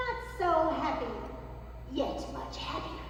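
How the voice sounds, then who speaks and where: A put-on character voice that sounds female comes at a fairly slow pace, with clear background noise and strong echo. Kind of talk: Shakespearean stage acting. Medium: stage play. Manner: imperious, commanding.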